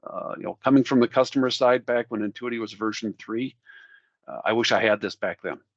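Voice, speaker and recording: A man in a Minnesotan accent talks at a very fast pace. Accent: Minnesota. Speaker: software product specialist demoing. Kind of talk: webinar product demo. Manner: casual, conversational.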